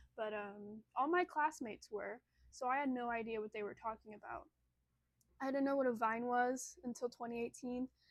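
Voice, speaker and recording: A woman's high voice with normal pitch movement, at a moderate speed. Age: 20s. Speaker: vlogger. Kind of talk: casual chat. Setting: home, phone propped on candle. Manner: halting. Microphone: phone camera.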